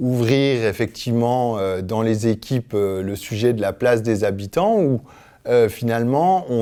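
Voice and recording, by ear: Intonation is lively as a man speaks at a fairly slow pace. His voice sits at a medium pitch with a slightly mellow tone.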